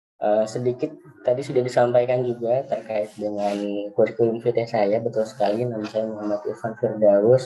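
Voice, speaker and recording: Intonation is monotone and flat, at a fairly quick pace. Noticeable background noise sits behind the voice. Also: man. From West Java, Bekasi Regency. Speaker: nurse. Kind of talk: webinar presentation. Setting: video call. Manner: hesitant, many fillers.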